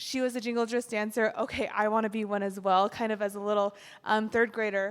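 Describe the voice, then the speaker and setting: A woman's unremarkable speaking voice, fairly high in pitch, at a fairly quick pace with fairly even intonation. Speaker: jingle dress dancer. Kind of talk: gallery talk, personal storytelling. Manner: casual, many fillers (um, like).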